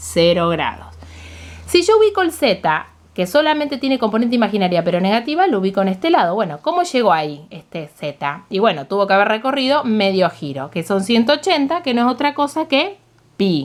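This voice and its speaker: At a fairly quick pace, a woman talks in a fairly high pitch with very wide pitch swings. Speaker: math teacher. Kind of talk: tutorial. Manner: fast.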